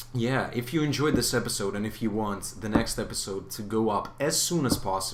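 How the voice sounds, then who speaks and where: With a non-native accent, a man speaks at a medium pitch with ordinary pitch variation, and room echo is audible. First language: not English. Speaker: gaming youtuber. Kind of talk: gameplay commentary. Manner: hesitant, many fillers.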